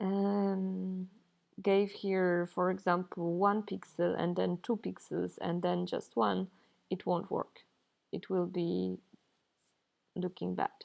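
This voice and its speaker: A woman with a non-native accent at a very slow pace, broken by long, frequent pauses. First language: not English. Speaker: pixel artist and game developer. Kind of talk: tutorial.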